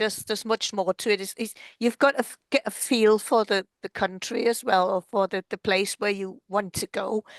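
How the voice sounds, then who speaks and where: A woman with a German accent and medium pitch, moderate pace, fairly even intonation and hardly any pauses, in a dry, close sound with no echo against a quiet background. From Germany. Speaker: podcast host. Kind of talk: interview conversation.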